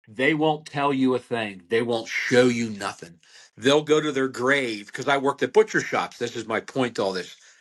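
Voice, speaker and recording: A man with a Pennsylvania accent, medium pitch, ordinary pitch variation and a moderate pace. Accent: Pennsylvania American. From Pennsylvania, Berks County. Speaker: butcher. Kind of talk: podcast interview.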